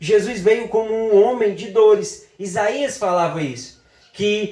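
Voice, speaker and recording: The room adds audible echo. Within it, a man talks at a fairly slow pace. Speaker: preacher. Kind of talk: sermon.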